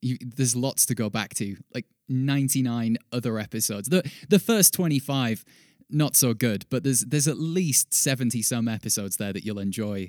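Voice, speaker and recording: At a moderate pace, a man with an unremarkable speaking voice speaks at medium pitch with ordinary pitch variation, in a very clean recording with a silent background and a dry, close sound with no echo. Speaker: wrestling news podcast host. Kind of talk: scripted comedic news parody with sign-off.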